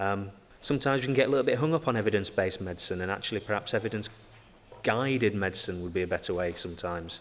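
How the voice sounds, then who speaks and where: The talk runs at a very fast pace with hardly any pauses. It carries a strong Yorkshire accent. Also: man, fairly low pitch for a man, ordinary pitch variation. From Yorkshire, northern England. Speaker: physiotherapist. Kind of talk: conference talk. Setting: stage with audience. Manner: hesitant with many fillers.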